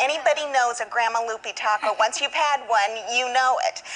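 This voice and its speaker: Over music in the background, a woman with a high pitch and an American accent speaks at a moderate pace with ordinary pitch variation. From Arizona, USA. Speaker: guest cook on a TV segment. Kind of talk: TV interview answer. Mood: warm, nostalgic. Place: studio.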